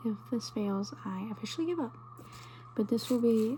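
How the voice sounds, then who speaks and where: A soft-spoken woman at a moderate pace. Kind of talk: ASMR video, casual talk to camera.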